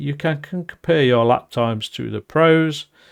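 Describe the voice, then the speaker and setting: A man with a Nottinghamshire accent speaks at a fairly slow pace in a fairly high pitch, with lively intonation. The recording is very clean, with a silent background. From England, Nottinghamshire. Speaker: podcast host. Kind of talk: podcast monologue.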